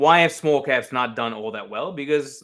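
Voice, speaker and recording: A man with an American accent talks at a fairly quick pace in a bright, sharp tone with ordinary pitch variation. The recording is very clean, with a silent background. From New York. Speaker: market analyst. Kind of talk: interview. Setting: live stream. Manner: fast.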